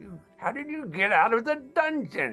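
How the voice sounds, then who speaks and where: Faint music plays behind a man doing a put-on character voice, extremely high-pitched, raised and projected, at a moderate pace. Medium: stage play. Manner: grandiose, melodramatic.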